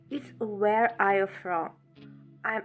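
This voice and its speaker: Over music in the background, a woman with a Russian accent speaks at a fairly slow pace, at medium pitch with ordinary pitch variation. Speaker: asylum seeker. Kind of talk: testimony.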